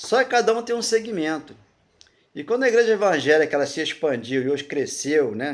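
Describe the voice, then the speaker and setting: Very wide pitch swings from a man talking fairly quickly. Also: fairly high pitch for a man. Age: 70s. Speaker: preacher. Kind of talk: sermon. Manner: rambling conversational preaching with fillers.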